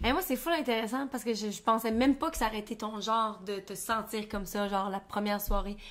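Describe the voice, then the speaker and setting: A woman in a Quebec accent, fairly high pitch, ordinary pitch variation, very fast pace and hardly any pauses. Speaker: podcast co-host. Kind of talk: casual chat.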